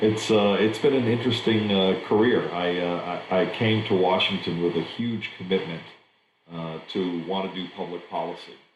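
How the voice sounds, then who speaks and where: A man with an American accent and a very deep, low pitch, at a moderate pace with fairly even intonation and audible room echo. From Germany. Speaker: trade association executive. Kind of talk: interview. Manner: halting, many fillers.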